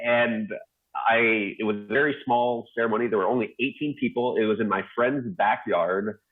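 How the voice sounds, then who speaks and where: A man with an American accent at medium pitch, moderate pace and ordinary pitch variation. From United States. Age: 40s. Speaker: dentist. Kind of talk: live talk presentation. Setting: livestream. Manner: animated.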